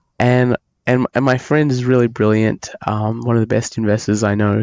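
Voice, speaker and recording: In an Australian accent, a man of medium pitch speaks at a moderate pace with fairly even intonation. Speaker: software engineer, author. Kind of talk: podcast interview. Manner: halting, many fillers.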